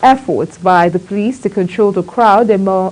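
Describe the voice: A woman speaks at a fairly slow pace in a slightly mellow tone.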